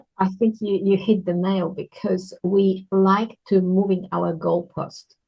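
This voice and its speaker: A woman's medium-pitched, somewhat breathy voice with a non-native accent, flat and monotone at a fairly slow pace. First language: not English. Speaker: children's book author. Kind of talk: casual interview.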